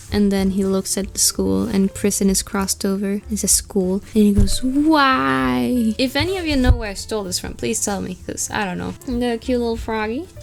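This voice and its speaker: A woman talks with a non-native accent. She leaves hardly any pauses. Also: moderate pace. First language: not English. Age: young. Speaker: artist YouTuber. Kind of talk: casual sketchbook tour narration.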